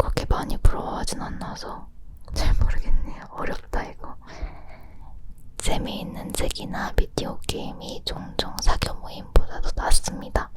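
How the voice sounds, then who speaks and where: Noticeable background noise accompanies a whisper that moves at a fairly slow pace. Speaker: ASMR creator. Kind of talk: ASMR whispered chat. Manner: whispered.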